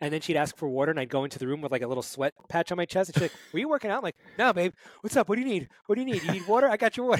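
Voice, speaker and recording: Speaking at a very fast pace with an American accent, a man uses a high pitch and very wide pitch swings in a dry, close sound with no echo. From Brooklyn, New York. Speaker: fitness coach. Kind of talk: interview.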